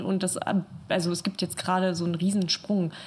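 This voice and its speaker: There is noticeable background noise. Over it, a woman speaks at a moderate pace in a medium pitch. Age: 20s. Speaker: art school student. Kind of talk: casual chat. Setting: studio.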